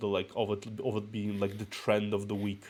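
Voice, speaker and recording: A fairly low-pitched man's voice with a Russian accent, on a very clean recording with a silent background. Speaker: VTuber streamer. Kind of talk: casual chat. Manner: halting.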